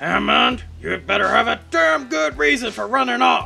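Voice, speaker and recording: Clear music plays in the background. A put-on character voice speaks at a moderate pace. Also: man. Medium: dub. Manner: angry, shouting.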